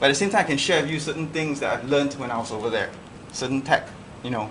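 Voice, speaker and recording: A man speaks with an American accent at a fairly high pitch. The room echo is audible. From Singapore. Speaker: lecturer. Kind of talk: lecture. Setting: classroom.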